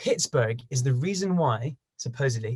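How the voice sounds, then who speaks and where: A somewhat breathy male voice of medium pitch with an English accent, at a moderate pace. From China. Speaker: bagpiper and travel video maker. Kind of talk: casual interview chat.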